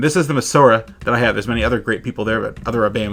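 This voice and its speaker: The speaker is a man with a medium pitch. There is noticeable background noise. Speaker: Torah teacher. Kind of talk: recorded Torah talk. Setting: home living room. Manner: fast.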